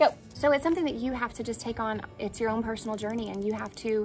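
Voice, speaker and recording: Very fast speech from a woman comes through with clear music playing behind her. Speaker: faith show host. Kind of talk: personal devotional talk. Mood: earnest, reflective. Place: open country.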